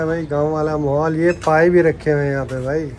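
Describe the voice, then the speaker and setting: A man talks with fairly even intonation. Light background noise can be heard. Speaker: food vlogger host. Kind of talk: casual vlog chat. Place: street. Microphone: phone near.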